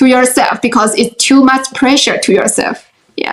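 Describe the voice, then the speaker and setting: Speaking at a moderate pace, a woman with a Chinese accent has a high-pitched voice. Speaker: life coach and writer. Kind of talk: interview. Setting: video call. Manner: halting.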